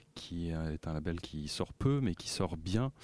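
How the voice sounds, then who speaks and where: A gruff man's voice, very deep and low, at a very slow pace on a very clean recording with a silent background. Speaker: radio music columnist. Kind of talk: casual radio chat.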